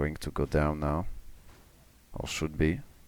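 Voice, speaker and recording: In a very clean recording with a silent background, a man speaks quietly in a very deep, low pitch with a dark, mellow tone. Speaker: game commentator. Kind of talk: live commentary. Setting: home, family asleep. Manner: slow. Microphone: mic pushed close to mouth.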